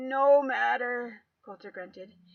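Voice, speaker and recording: A woman puts on a character voice that sits high in pitch. It sounds strained. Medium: read story. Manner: strained, clipped, forced through clenched teeth.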